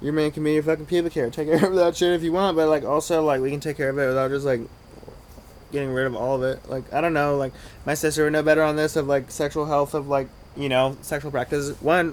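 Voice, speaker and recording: A man mumbles at a very fast pace. His intonation stays fairly even. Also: fairly high pitch for a man. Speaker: vlogger. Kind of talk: casual monologue to camera. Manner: mumbling.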